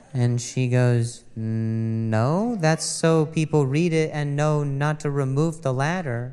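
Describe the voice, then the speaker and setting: Noticeable background noise sits behind this man's voice. He talks very slowly at a fairly high pitch. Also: ordinary pitch variation. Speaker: stand-up comedian. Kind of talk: stand-up.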